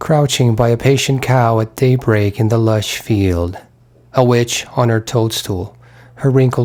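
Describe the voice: What you hear is plain reading aloud.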